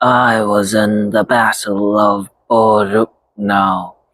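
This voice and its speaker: In a put-on character voice, a man speaks very slowly at a fairly low pitch with monotone, flat intonation. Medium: read story. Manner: gentle, unaffected.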